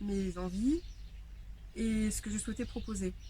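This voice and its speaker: Her voice has a medium pitch and is somewhat breathy. This woman uses ordinary pitch variation. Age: 30s. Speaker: life coach. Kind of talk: interview.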